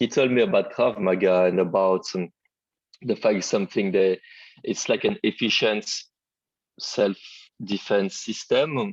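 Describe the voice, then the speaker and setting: A man with a French accent, fairly slow, in a dry, close sound with no echo. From Martinique, then southeast France. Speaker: fire safety engineer, martial arts practitioner. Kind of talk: interview. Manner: halting, many fillers.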